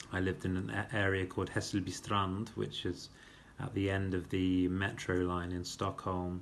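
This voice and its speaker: Speaking with an English accent, a man has a very deep, low pitch. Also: ordinary pitch variation, moderate pace. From England, Birmingham (Moseley). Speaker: vlogger introducing himself. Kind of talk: casual self-introduction monologue. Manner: hesitant with fillers.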